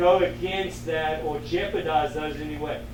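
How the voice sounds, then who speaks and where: Here a man talks at a fairly slow pace. Noticeable background noise and audible room echo surround him. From South Africa. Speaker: lecturer on sustainable agriculture. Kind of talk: lecture. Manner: casual, conversational.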